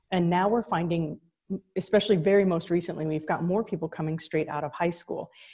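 A woman's somewhat breathy voice, fairly low in pitch, with a dark, mellow tone, ordinary pitch variation and a fairly quick pace, on a very clean recording with a silent background. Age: 40s. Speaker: college founder and president. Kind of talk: casual interview chat.

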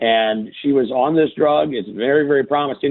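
A man speaks in a normal speaking voice at medium pitch, with lively intonation and a fairly quick pace. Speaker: farmer and podcaster. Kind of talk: casual interview chat.

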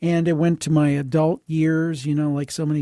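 A man talks at a fairly quick pace in a dark, mellow tone with fairly high pitch. The recording is very clean, with a silent background. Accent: Midwestern American. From US Midwest, Cleveland, Ohio. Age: 50s. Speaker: podcast host and producer. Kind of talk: casual interview chat.

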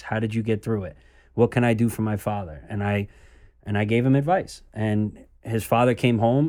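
Over a silent background in a very clean recording, a man speaks with an American accent at a medium pitch. He has a normal speaking voice with ordinary pitch variation. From New York. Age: 20s. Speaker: son of a former mobster. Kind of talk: interview conversation.

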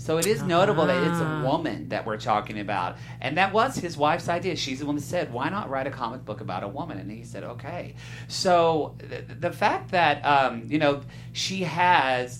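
At a moderate pace, a man speaks with an American accent. Room echo is audible. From southern Oklahoma. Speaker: film podcast panelist. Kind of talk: casual chat.

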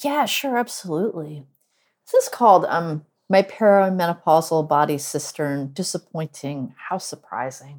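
An unremarkable speaking voice belongs to a woman with an American accent. She talks at a moderate pace with lively intonation. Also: fairly low pitch for a woman. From US Northeast. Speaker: poet and professor. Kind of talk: poetry reading.

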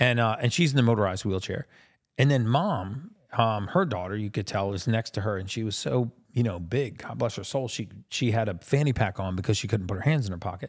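With an unremarkable speaking voice, a man speaks at a fairly quick pace and medium pitch with ordinary pitch variation, on a very clean recording with a silent background. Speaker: podcast host, human biologist. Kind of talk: casual interview. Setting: studio.

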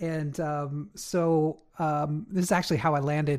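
The recording is very clean, with a silent background. Speech moves at a very slow pace. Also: man. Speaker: dialysis nurse. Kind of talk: casual chat.

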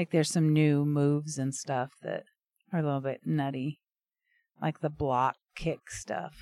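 A quiet, dark, mellow voice at a fairly slow pace, with fairly even intonation and long, frequent pauses. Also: woman, very deep, low pitch for a woman. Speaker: podcast co-host. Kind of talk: casual chat. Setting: outdoors on back patio by a fire.

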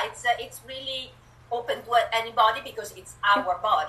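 In an Italian accent, a woman with a fairly high pitch speaks at a moderate pace. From Italy. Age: 50s. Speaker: author and spiritual guide. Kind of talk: interview. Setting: video call.

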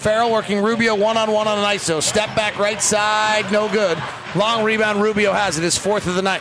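Over noticeable background noise, a man speaks at a moderate pace with a high pitch, monotone, flat intonation and very even loudness. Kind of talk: basketball play-by-play radio commentary.

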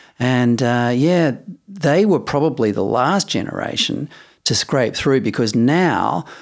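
At a very slow pace, a man with an Australian accent speaks in a very clean recording with a silent background. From Western Australia, Perth. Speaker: podcast co-host. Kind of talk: casual chat. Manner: laid-back.

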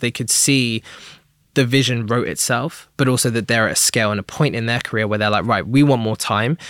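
Speaking very fast in an English accent, a man keeps his intonation fairly even. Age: 20s. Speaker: talent manager. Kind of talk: interview.

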